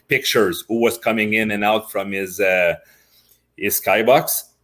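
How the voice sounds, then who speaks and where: Over a very clean recording with a silent background, a man with a French accent speaks at a fairly slow pace in a fairly low voice. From Quebec, Montreal. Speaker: retired hockey player. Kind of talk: interview. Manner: halting.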